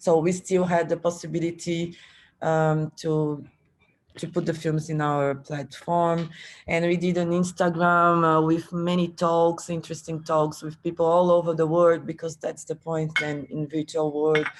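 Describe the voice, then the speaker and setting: The speech moves at a fairly slow pace. It comes in a Portuguese accent. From Brazil. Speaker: film festival organizer. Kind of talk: panel discussion. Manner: halting.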